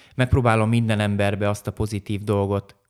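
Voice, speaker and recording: At a fairly quick pace, a man speaks with a fairly low pitch and monotone, flat intonation. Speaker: karate master and former champion. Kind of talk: interview.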